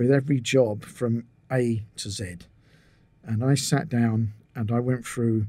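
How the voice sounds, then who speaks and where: A man speaks at a fairly slow pace with a dark, mellow tone. His intonation stays fairly even. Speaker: podcast guest. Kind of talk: interview answer. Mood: relaxed, reminiscing. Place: home room. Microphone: studio mic.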